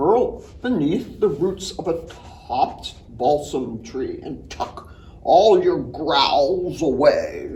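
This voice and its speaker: Putting on a character voice, a man speaks very slowly at a high pitch over light background noise. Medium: read story.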